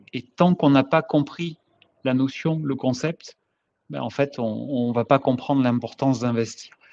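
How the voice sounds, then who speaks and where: A fairly slow pace with fairly even intonation. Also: man. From France. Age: 50s. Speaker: engineer, course participant. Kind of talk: testimony. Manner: halting, many repetitions and hesitations.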